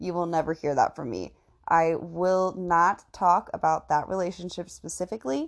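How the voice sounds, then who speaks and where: Over a quiet background, a woman with an American accent speaks in an unremarkable speaking voice, fairly low in pitch, at a moderate pace with ordinary pitch variation. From Indiana. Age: 20s. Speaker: podcaster. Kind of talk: casual personal monologue.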